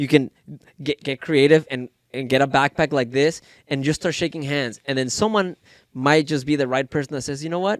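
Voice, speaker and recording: With a Spanish accent, a man talks at a fairly quick pace in a fairly high pitch with ordinary pitch variation, the sound dry and close with no echo on a very clean recording with a silent background. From Mexico. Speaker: entrepreneur. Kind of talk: podcast interview.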